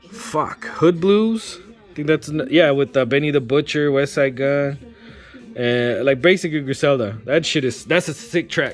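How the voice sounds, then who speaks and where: With music in the background, a man speaks in a fairly high pitch. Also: lively intonation. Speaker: vinyl record collector. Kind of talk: casual vlog review. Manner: fast.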